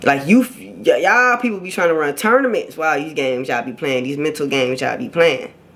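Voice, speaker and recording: The speech comes at a very fast pace with hardly any pauses. Noticeable background noise runs underneath. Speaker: YouTuber giving relationship advice. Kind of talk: casual vlog monologue. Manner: loud when passionate; animated.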